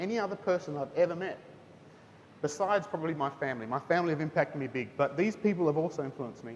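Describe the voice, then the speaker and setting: A man speaks at a very fast pace with a New Zealand accent. His pitch varies in an ordinary way. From Singapore and New Zealand (missionary kid). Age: 30s. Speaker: teacher. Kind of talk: testimony talk to students at school chapel. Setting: school chapel with student audience. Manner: casual, conversational.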